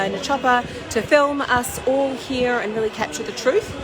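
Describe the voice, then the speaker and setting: A woman talks at a moderate pace. Noticeable background noise and audible room echo are present. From New Zealand. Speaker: protest livestreamer. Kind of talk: livestream commentary. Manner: halting, many fillers.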